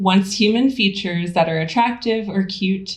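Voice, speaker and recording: Audible room echo surrounds a woman's somewhat breathy voice, which sits at a medium pitch. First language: not English. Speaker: theorist and lecturer. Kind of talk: lecture.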